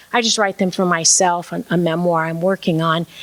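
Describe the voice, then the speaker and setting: A woman with an unremarkable speaking voice talks fairly quickly at a medium pitch. The sound is dry and close, with no echo. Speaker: minister and storyteller. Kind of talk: talk on preaching and storytelling.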